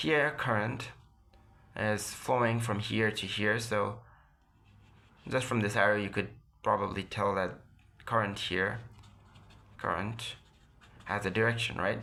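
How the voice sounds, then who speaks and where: A man with a non-native accent speaks fairly slowly at a fairly low pitch, his tone bright and sharp, his intonation fairly even, with long, frequent pauses. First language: non-native English speaker. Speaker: physics lecturer. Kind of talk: educational lecture. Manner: occasional stutters.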